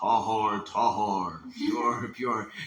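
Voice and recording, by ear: A man puts on a booming character voice at a medium pitch, with audible echo around him.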